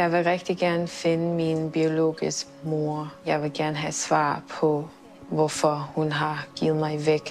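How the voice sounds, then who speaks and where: Over music in the background, the speech moves at a very slow pace with monotone, flat intonation. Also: woman, very deep, low pitch for a woman. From Thailand until age six, then raised by Danish family in Switzerland. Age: 20s. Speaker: adoptee searching for birth parents. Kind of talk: documentary interview.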